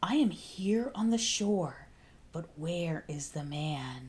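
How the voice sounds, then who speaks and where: Speaking very slowly in a put-on character voice, a woman holds a fairly low pitch over audible hissing. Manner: sinister, hissing.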